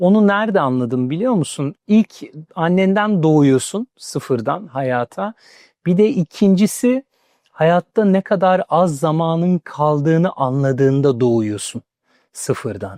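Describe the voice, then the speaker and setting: Very slowly and at a high pitch, a man speaks in a dark, mellow tone with very wide pitch swings, the sound dry and close with no echo over a quiet background. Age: 40s. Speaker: career speaker. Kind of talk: interview.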